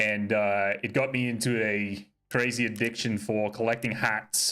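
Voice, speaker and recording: Here a man speaks at a fairly low pitch and a fairly slow pace, in a bright, sharp tone. His intonation is monotone and flat, and his loudness stays very even. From Australia, Sydney. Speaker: game streamer. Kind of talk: live gameplay commentary, chatting with viewers. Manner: casual, swearing banter.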